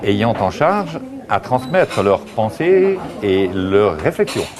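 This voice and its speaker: A man's voice swings very widely in pitch, with noticeable background noise behind it. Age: 60s. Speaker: author. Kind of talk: interview. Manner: halting.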